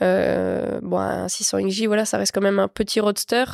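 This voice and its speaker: A woman speaks at a fairly slow pace on a very clean recording with a silent background and a dry, close sound with no echo. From northeastern France, Lorraine (Meuse), rural. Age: 20s. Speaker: motorcycle racer. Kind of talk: casual interview chat.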